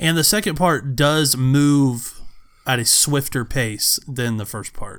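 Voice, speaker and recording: A man with an American accent and a fairly high pitch speaks very slowly, with ordinary pitch variation. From United States. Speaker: podcast co-host. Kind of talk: casual chat.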